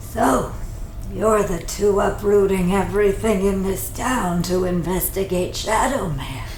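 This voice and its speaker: A woman puts on a character voice at medium pitch. She goes at a fairly slow pace over clear background noise. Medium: audio drama. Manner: wry, teasing.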